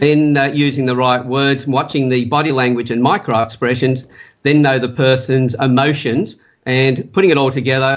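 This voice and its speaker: This man talks at a fairly quick pace in an Australian accent. His pitch sits in the medium range. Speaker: profiling and communication specialist. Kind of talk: interview. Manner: fast.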